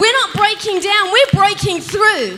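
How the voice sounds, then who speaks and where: Over noticeable background noise, a woman speaks at a moderate pace in a raised, projected voice with lively intonation. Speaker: pastor. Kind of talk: sermon. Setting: church.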